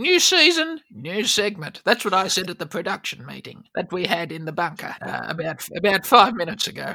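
A woman talks at a fairly quick pace with hardly any pauses. Her pitch is medium and her intonation lively. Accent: Australian. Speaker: comedy podcast host playing an elderly granny character.

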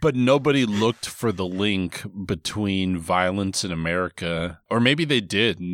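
A man with an unremarkable speaking voice talks at a fairly slow pace with hardly any pauses, his pitch fairly low with ordinary variation, on a very clean recording with a silent background. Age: 30s. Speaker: podcast host. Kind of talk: casual chat.

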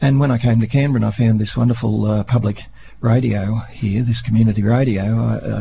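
The speaker talks with an Australian accent. The intonation stays fairly even. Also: man. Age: 60s. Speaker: volunteer radio presenter and harmonica player. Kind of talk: radio interview. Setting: radio studio.

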